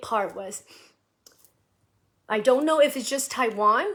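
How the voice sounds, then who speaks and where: In a very clean recording with a silent background, a woman speaks with a West Coast accent. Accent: American English, West Coast. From US, San Francisco Bay Area. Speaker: musician, live streamer. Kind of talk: casual live stream chat. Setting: live video stream. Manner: halting, many fillers and repeats.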